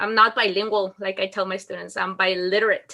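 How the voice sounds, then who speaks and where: A woman speaks in a Mexican accent with a bright, sharp tone. Her intonation is monotone and flat. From Mexico. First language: Spanish. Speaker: school principal. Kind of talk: interview.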